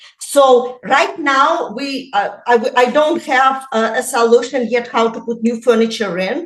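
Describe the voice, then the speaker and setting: A woman with a non-native accent talks at a fairly slow pace in a high voice with ordinary pitch variation. She leaves hardly any pauses. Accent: foreign. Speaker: real estate agent. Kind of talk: podcast interview. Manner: halting, many fillers.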